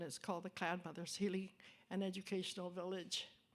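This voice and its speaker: Woman's medium-pitched voice at a fairly quick pace. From Northern Manitoba, Canada. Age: 80s+. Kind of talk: panel discussion talk. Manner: halting.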